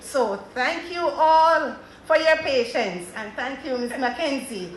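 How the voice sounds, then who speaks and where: With a Jamaican accent, a woman talks at a moderate pace. Noticeable background noise and audible room echo come through. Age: 60s. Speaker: panelist at a women's agricultural conference. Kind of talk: panel talk to an audience.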